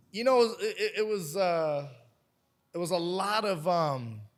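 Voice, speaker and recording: A high-pitched man with an American accent, lively intonation, a very slow pace, long, frequent pauses and audible room echo. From West Virginia. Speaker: podcast guest. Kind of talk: casual interview chat. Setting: on-location podcast at a fight gym.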